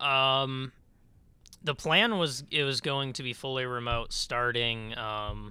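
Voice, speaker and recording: The voice has a bright, sharp tone and an American accent, with fairly even intonation. The recording is very clean, with a silent background. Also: man. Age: 20s. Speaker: podcast co-host. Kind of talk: casual chat. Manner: halting, many fillers.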